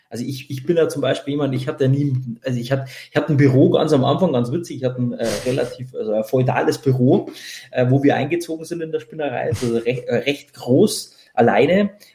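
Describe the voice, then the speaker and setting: Speaking at a fairly quick pace, a man with a Bavarian accent uses a fairly high pitch. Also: ordinary pitch variation. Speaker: tech company co-founder. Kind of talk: casual interview. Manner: hesitant, many fillers.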